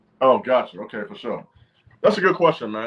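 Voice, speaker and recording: Very fast speech with very wide pitch swings over music in the background. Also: man. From Chicago area, Illinois. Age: 40s. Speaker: motivational speaker. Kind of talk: interview.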